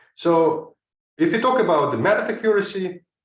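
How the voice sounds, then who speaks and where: A man speaks with a non-native accent. His intonation is lively. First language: not English. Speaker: chemistry professor. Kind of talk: lecture. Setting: online seminar. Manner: hesitant, frequent uh fillers.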